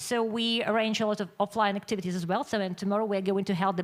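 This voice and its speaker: With a Ukrainian accent, a woman speaks at a medium pitch in fairly even intonation. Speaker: magazine publisher. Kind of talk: conference presentation. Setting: conference with audience. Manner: halting.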